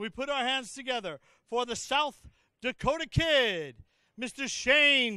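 A man projects his raised voice at an extremely high pitch with a bright, sharp tone. The sound is dry with no echo, and the background is quiet. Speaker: arena announcer. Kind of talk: formal introduction announcement. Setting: PA system in arena. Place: hall. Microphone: handheld.

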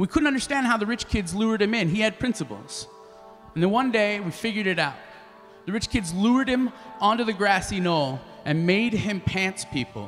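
Faint music plays behind a man speaking at a fairly quick pace. His pitch is high, with ordinary variation. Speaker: spoken word artist and slam poet. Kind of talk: live storytelling performance. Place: stage. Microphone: handheld.

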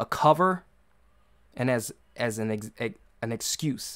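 Someone speaks with an American accent against a quiet background. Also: man. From US, urban neighborhood. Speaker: podcast host. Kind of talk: solo commentary monologue. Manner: halting, many repetitions and fillers. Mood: concerned, earnest. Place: home room.

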